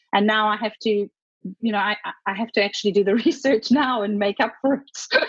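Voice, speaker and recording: In a South African accent, a somewhat breathy woman speaks at a fairly quick pace, fairly high pitch and with fairly even intonation. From Zimbabwe. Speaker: author. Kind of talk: casual interview chat.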